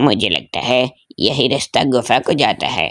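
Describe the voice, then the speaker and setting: A raspy, put-on character voice at a moderate pace. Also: man, medium pitch for a man. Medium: audio drama. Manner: stammering when scared.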